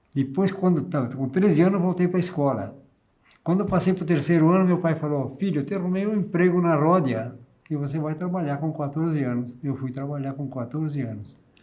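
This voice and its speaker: A man's fairly high voice has a dark, mellow tone and a fairly quick pace. Audible room echo surrounds his speech. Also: ordinary pitch variation. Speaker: war veteran. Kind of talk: interview testimony.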